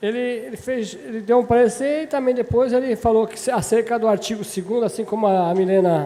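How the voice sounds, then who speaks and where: This man's voice is high in pitch with ordinary pitch variation, at a moderate pace. Noticeable background noise runs behind him. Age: 60s. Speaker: city councillor. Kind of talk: legislative debate speech. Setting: municipal council chamber session.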